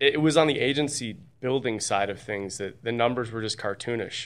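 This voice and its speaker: A man with a plain, everyday voice at a medium pitch, ordinary pitch variation and a moderate pace, in a very clean recording with a silent background. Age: 30s. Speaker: insurance agent and agency builder. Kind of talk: casual interview.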